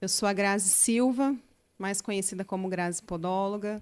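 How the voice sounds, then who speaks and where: In a very clean recording with a silent background, a woman speaks at medium pitch. She has a São Paulo accent and keeps a moderate pace. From São Paulo state, Brazil (Guarulhos). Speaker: local political candidate and podiatrist. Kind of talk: podcast interview.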